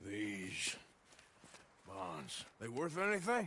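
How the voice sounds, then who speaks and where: Adopting a put-on character voice, the man keeps his pitch in the middle range. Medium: video game. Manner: terse, gruff.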